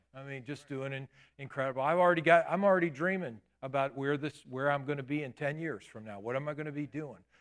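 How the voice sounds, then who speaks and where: This man speaks at a very fast pace. His pitch is fairly high, with ordinary pitch variation. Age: 50s. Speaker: pastor. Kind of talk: sermon. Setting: church.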